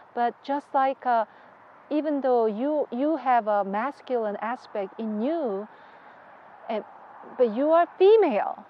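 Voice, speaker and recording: With a Korean accent and a high pitch, a woman speaks at a fairly slow pace with lively intonation and long, frequent pauses over noticeable background noise. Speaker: religious leader's wife. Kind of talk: interview. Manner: halting.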